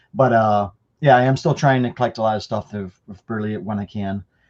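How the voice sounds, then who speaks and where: A man with an American accent talks at a fairly quick pace and medium pitch, with ordinary pitch variation. He has an unremarkable speaking voice. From Chicago. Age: 40s. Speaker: card collector and show host. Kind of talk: casual roundtable chat.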